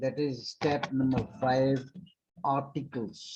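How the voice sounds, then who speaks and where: A dark, mellow tone marks the voice. It is somewhat breathy. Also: man. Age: 70s. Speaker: English teacher. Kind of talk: lecture.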